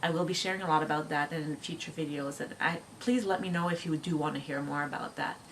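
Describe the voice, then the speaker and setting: A woman with a French Canadian accent speaks at a moderate pace in a very deep, low pitch, with fairly even intonation. Noticeable background noise runs under her voice. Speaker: homeschooling mom vlogger. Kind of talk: casual chat. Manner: halting.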